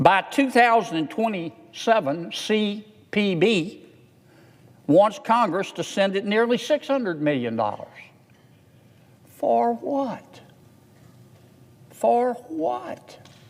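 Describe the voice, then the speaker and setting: Speaking in a Southern US accent at a very slow pace, the voice swings very widely in pitch, with long, frequent pauses. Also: man, high pitch for a man. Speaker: US senator. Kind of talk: Senate floor speech.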